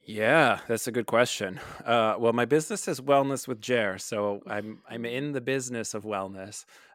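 A normal speaking voice at a moderate pace, with ordinary pitch variation, in a very clean recording with a silent background and a dry, close sound with no echo. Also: man. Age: 30s. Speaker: marriage and family therapist. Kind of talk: casual chat.

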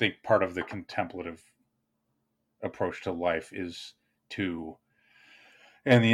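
This man's voice sits very deep and low, with ordinary pitch variation. The recording is very clean, with a silent background. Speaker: writer and video creator. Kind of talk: casual chat. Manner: fast.

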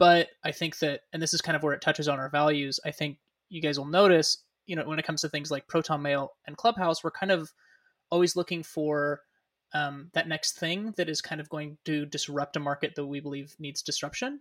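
Fairly quick, fairly even speech from a man with a fairly high pitch and an American accent, a normal speaking voice, recorded dry and close with no echo. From Northern California (Sacramento area). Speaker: podcast co-host, business owner, student. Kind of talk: casual chat.

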